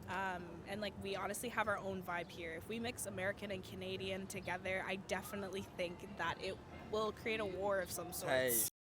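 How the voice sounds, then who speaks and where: With an unremarkable speaking voice, a woman talks fairly quickly in a medium pitch. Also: fairly even intonation. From Canada. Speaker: street interviewee. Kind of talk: street interview.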